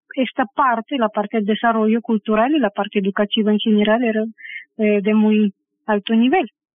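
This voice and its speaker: A woman with a Russian accent, fairly high pitch and moderate pace. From Belarus, Minsk. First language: Russian (speaking Spanish). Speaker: pianist and music theory teacher. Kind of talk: interview.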